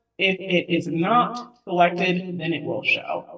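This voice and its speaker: A woman speaks at a fairly slow pace with a fairly low pitch. Hers is a plain, everyday voice. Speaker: transaction coordinator. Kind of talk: software demo webinar. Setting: webinar.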